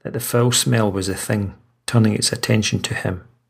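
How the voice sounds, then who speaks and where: At a moderate pace, a man speaks in an ordinary speaking voice at a medium pitch. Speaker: audiobook narrator and horror author. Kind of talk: horror story narration, read aloud.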